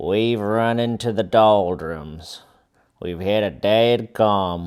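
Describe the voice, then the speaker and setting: A man's put-on character voice, growling and fairly low in pitch, at a very slow pace on a very clean recording with a silent background. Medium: read story.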